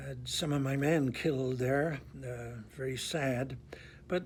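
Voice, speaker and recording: Somewhat breathy and at medium pitch, a man speaks at a fairly slow pace with fairly even intonation in a room with audible echo. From Northern Ireland, Belfast. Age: 80s+. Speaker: priest. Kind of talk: testimony.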